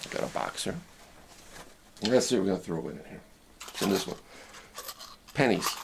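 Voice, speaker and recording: Amid noticeable background noise, a man with a fairly low pitch speaks at a fairly quick pace, with lively intonation, big swings in loudness and long, frequent pauses. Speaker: ham radio operator and preacher. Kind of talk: casual talk to camera, teaching demonstration. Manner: conversational, explanatory.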